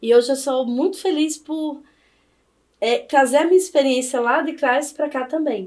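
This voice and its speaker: A woman with a northeastern Brazilian accent, at a moderate pace. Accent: Northeastern Brazilian accent, noticeable. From Brazilian Northeast, Campina Grande, Paraíba. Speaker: law professor. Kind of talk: podcast interview.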